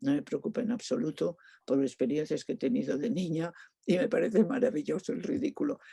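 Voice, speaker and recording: This woman's pitch swings very widely. Her tone is dark and mellow. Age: 80s+. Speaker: performance artist. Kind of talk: interview. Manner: halting, many fillers.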